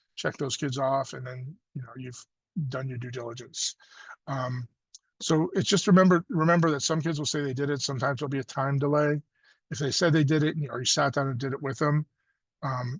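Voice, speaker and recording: Fairly quick and somewhat breathy, a man speaks at a fairly high pitch. His intonation is fairly even. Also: quiet background. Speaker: state education coordinator, webinar presenter. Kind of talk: webinar presentation. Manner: fast; casual, many fillers.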